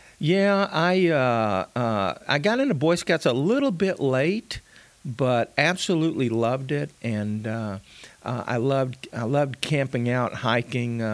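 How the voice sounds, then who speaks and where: A man speaks at a very slow pace, his voice medium in pitch with a Texan accent. The intonation is lively, and the very clean recording has a silent background. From South Texas. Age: 60s. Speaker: pastor. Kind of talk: casual chat.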